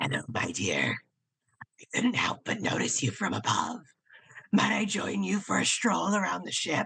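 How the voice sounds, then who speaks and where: This is a raspy, gravelly put-on character voice at a middle pitch. It moves at a moderate pace. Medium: stage play.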